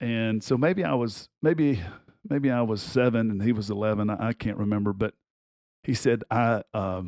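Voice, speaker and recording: A man with a strong Southern US accent speaks at a moderate pace, his pitch medium and its variation ordinary. The recording is very clean and dry, close with no echo, over a silent background. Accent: thick Southern US. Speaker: basketball coach and podcast host. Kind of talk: casual personal storytelling. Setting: studio recording.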